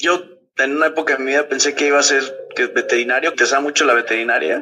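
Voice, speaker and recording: A man is speaking at a fairly quick pace. His voice sits fairly high. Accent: Mexican. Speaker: marine biologist and diving instructor. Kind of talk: casual interview. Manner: animated.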